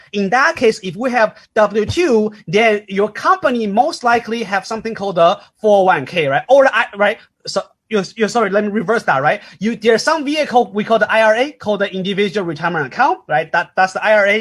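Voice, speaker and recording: Pitched high, a man talks at a fairly quick pace with lively intonation. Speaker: financial seminar presenter. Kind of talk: seminar lecture. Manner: fast; halting, many restarts.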